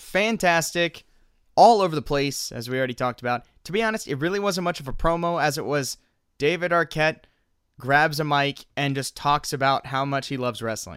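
Here a man uses a normal speaking voice, pitched fairly high. His intonation is lively and his pace moderate. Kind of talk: casual podcast banter, not stand-up. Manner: easygoing, agreeable, hedging with filler words.

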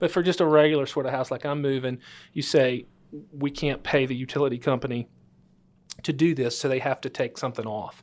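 This man talks at a fairly quick pace with a Louisiana accent and fairly even intonation. His pitch is fairly high, and he leaves long, frequent pauses. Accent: Louisiana Southern US. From northwest Louisiana. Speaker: title attorney and podcast host. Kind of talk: interview. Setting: studio.

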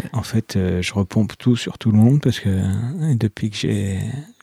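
The voice has a dark, mellow tone and moves at a moderate pace. The sound is dry and close, with no echo. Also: man. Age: 40s. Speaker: comic book author. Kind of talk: casual interview.

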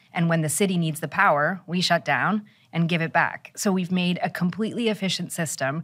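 A woman with a plain, everyday voice talks at a fairly quick pace and fairly low pitch, with ordinary pitch variation, in a very clean recording with a silent background. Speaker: bitcoin mining executive. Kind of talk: interview.

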